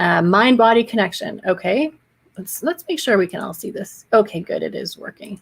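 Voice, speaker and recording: With lively intonation and big swings in loudness, a woman speaks at a medium pitch. Her voice is somewhat breathy and her pace moderate. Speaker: social media marketing educator. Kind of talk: live stream tutorial. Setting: solo live stream. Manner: casual, chatty.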